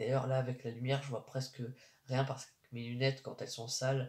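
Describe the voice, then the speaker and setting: This man's medium-pitched voice is somewhat breathy and delivered in a flat, monotone way. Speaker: YouTuber. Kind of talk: casual monologue. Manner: slow; halting.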